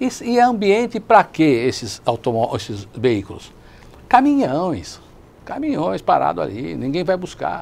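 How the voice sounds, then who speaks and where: At a fairly slow pace, the speaker's pitch swings very widely. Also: man. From Brazil, São Caetano do Sul (São Paulo ABC region); São Paulo, Brazil. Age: 60s. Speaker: lawyer and city councillor, co-host; lawyer, city councillor, co-host. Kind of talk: TV talk show discussion. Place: studio. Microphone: lapel.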